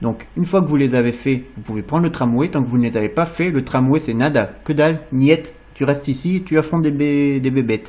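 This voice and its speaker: With a dark, mellow tone, a man speaks at a fairly high pitch and a fairly quick pace, with ordinary pitch variation and hardly any pauses. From France. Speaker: video game reviewer. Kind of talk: gameplay commentary; casual sign-off to viewers. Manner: stammering.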